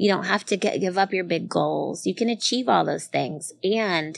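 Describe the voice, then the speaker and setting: In an American accent, a woman talks at a fairly low pitch and a fairly slow pace. Her pitch varies in an ordinary way, and the background is quiet. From US small town. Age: 40s. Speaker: speaker and coach. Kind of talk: live interview with audience Q&A. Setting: bar with live audience. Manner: animated.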